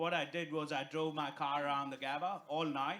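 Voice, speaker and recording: This man has a bright, sharp tone and a fairly high pitch, talking at a fairly quick pace with an Indian accent. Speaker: stand-up comedian. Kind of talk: stand-up. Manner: animated.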